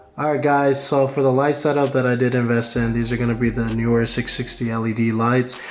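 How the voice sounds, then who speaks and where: A man mumbles at a fairly quick pace, his medium-pitched voice monotone and flat. Noticeable background noise sits behind him. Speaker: YouTuber reviewing gear. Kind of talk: product review vlog. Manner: mumbling, low-key.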